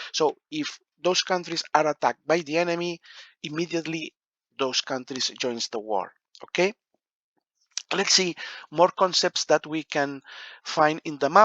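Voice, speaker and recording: A man with a fairly high pitch and a non-native accent, ordinary pitch variation, a moderate pace, and long, frequent pauses. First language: not English. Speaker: board game rules explainer. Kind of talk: tutorial. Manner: halting, many fillers.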